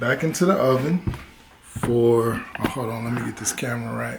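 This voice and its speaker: Noticeable background noise sits behind a man speaking at medium pitch and a fairly slow pace. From rural area. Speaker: cooking vlogger. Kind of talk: casual cooking vlog. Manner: casual, playful.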